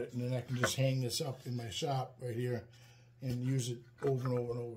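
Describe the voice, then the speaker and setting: A man with an American accent talks at a very fast pace. Loud background noise fills the recording. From Wisconsin. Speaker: woodworking YouTuber. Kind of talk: tutorial. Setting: workshop. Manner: casual, many fillers (um, uh). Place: workshop.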